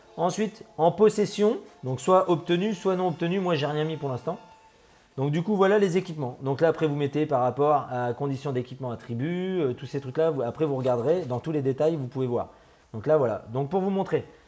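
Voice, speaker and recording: A man speaks with a fairly high pitch and ordinary pitch variation. Noticeable background noise runs behind him. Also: fairly quick pace. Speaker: gaming YouTuber. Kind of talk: tutorial. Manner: fast; halting.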